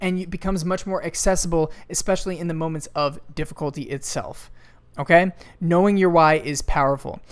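This woman's voice sits at a fairly low pitch. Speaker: podcast host. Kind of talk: pep talk. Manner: intense, emphatic, fired-up; casual, profane, conversational.

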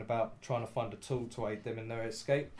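Fairly even in intonation, a man's voice sounds somewhat breathy. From England. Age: 30s. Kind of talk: game preview presentation; casual chat.

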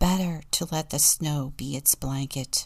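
In a very clean recording with a silent background, a woman speaks fairly slowly at a very deep, low pitch. Her tone is warm and gentle, somewhat breathy, with ordinary pitch variation. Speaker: deacon and storyteller. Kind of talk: audiobook-style reading aloud of a saga, with a short devotional intro and closing prayer. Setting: church podcast, studio recording. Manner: measured, storyteller's cadence, warm and gentle.

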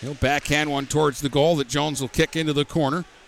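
A man speaks in a fairly high pitch with an American accent. Noticeable background noise runs behind him. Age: 50s. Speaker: hockey play-by-play announcer. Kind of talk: live play-by-play hockey commentary, rapid puck-tracking call. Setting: ice arena broadcast booth. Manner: brisk running narration of each pass and player name; chatty, opinionated asides with laughter between plays.

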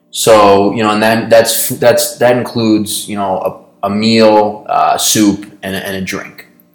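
With an American accent and fairly even intonation, the speaker goes at a fairly slow pace with hardly any pauses, the loudness swinging widely over noticeable background noise. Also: man, fairly low pitch for a man. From New York. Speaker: podcast co-host, business co-founder. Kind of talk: casual chat. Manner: hesitant, many fillers.

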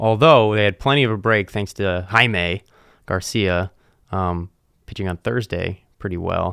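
In an American accent, a man with a plain, everyday voice speaks at a fairly low pitch and fairly slow pace, with ordinary pitch variation and a dry, close sound with no echo. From US East Coast. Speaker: podcast host. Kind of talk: casual sports banter.

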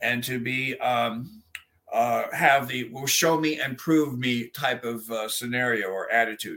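His tone is bright and sharp. The man speaks at a moderate pace with medium pitch and ordinary pitch variation. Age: 60s. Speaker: exorcist clergyman. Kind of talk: interview.

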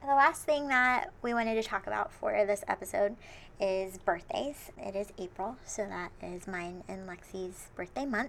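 A woman's plain, everyday voice at medium pitch, with lively intonation and a moderate pace. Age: 20s. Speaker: podcast co-host. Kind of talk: casual chat.

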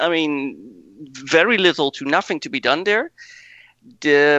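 In a Dutch accent, a man speaks at a fairly high pitch with ordinary pitch variation. His pace is fairly slow. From Netherlands. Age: 40s. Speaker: rally driver. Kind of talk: casual interview.

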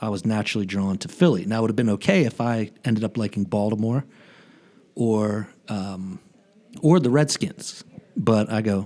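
Fairly low male voice at a fairly quick pace, an ordinary speaking voice. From local area of the show (US East Coast). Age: 40s. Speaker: foundation fundraiser, aspiring podcaster. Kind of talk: casual chat.

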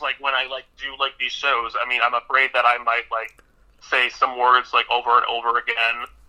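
This is a man talking. His pitch sits at a medium level. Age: 20s. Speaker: guest co-host. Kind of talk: interview. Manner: halting, many fillers.

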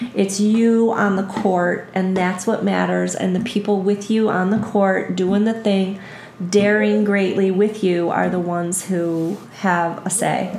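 A woman with a Buffalo accent talks at a fairly slow pace in a medium-pitched, monotone, flat voice. Audible room echo and noticeable background noise are present. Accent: Western New York (Buffalo) American. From western New York, south of Buffalo. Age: 50s. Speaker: yoga instructor. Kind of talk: casual interview chat.

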